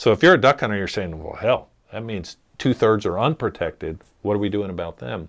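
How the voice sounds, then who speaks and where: An ordinary speaking voice, a man fairly low in pitch with lively intonation and big swings in loudness on a very clean recording with a silent background. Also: fairly quick pace. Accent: American. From US Mid-Atlantic, Maryland (Chesapeake Bay). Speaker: wildlife biologist. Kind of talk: casual chat.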